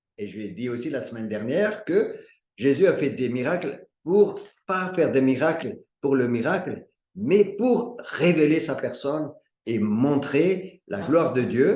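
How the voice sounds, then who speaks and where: Over audible room echo, a dark, mellow voice moves through very wide pitch swings at a fairly slow pace. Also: man, fairly high pitch for a man. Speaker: bible study teacher. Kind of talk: bible study teaching.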